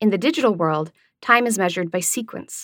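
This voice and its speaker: This woman has an ordinary speaking voice with lively intonation, delivered at a moderate pace. The recording is very clean, with a silent background. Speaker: essay author and narrator. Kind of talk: audiobook reading of an essay, scripted academic narration. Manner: even, lecture-like, calm.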